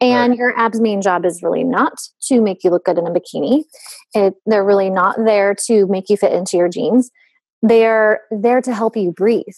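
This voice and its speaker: Someone with a Western US accent speaks at a moderate pace with ordinary pitch variation and very even loudness, in a dry, close sound with no echo. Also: woman. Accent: Western US twang. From US West. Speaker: fitness company founder. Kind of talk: casual chat.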